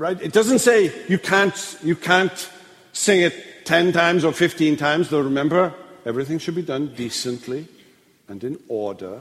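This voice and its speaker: Against noticeable background noise, a man with a Welsh accent speaks in a high voice at a moderate pace. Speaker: pastor. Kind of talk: lecture. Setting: church.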